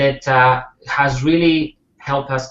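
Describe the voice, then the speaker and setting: Speaking with a Spanish accent, a man uses a fairly high pitch and a monotone, flat intonation. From Spain. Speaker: network marketer. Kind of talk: interview.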